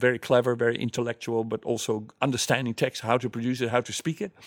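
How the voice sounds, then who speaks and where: In a very clean recording with a silent background and a dry, close sound with no echo, a man of medium pitch speaks at a fairly quick pace with a Dutch accent. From Netherlands. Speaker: mime and playback theatre performer. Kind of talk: interview.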